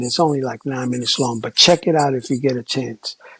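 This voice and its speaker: A man's somewhat breathy voice at a medium pitch. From New York, the Bronx. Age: 60s. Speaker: former graffiti artist and hip hop figure. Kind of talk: testimony. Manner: animated.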